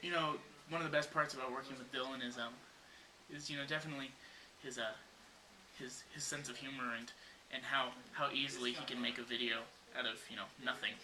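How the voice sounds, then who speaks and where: A man's very fast, flat, monotone delivery, with audible room echo and noticeable background noise. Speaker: comedy video maker. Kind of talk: comedic behind-the-scenes banter. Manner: halting with many fillers.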